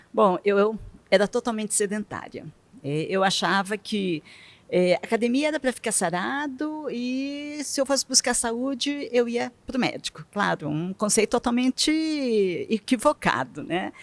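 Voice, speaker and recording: A woman talks fairly slowly with lively intonation and a fairly high pitch, in a plain, everyday voice. The sound is dry and close, with no echo. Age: 60s. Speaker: retired bank worker turned triathlete. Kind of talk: interview.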